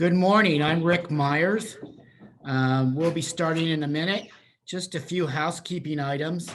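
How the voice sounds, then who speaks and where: With an American accent, a man with a fairly high pitch speaks at a fairly slow pace with fairly even intonation. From central Pennsylvania. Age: 60s. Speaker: senior housing sales and marketing presenter. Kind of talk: webinar presentation. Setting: Zoom video call. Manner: halting, many fillers.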